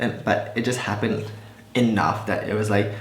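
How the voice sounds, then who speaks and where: A man's fairly low, monotone voice with flat intonation and an American accent, amid noticeable background noise and audible room echo. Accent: American-sounding, hides Malaysian. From Malaysia. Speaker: beauty vlogger. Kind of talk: casual chat.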